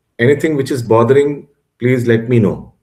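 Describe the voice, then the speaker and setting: At a moderate pace, a man with a medium pitch talks with a Bengali accent. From Bengal, India. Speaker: religious course teacher. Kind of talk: online class lecture. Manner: halting, many fillers and restarts.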